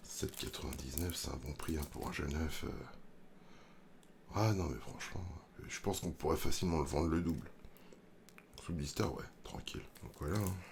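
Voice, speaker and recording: At a fairly slow pace, a soft-spoken man with a very deep, low pitch and vocal fry talks with ordinary pitch variation. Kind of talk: ASMR roleplay. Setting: reverb effect.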